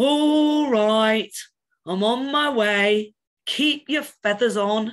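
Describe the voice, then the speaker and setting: Using a put-on character voice, a woman speaks at a very slow pace. Her pitch is fairly high. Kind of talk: storybook read-aloud with character voices. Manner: grumpy.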